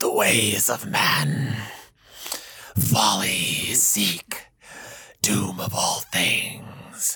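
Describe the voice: Speaking very slowly with long, frequent pauses, a man uses a raspy, put-on character voice at a fairly low pitch.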